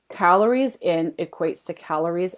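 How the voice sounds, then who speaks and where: With a Canadian accent, a woman speaks fairly slowly at a fairly low pitch. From Canada. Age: 40s. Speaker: health and fat loss coach. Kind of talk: live webinar training. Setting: Facebook livestream. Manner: animated.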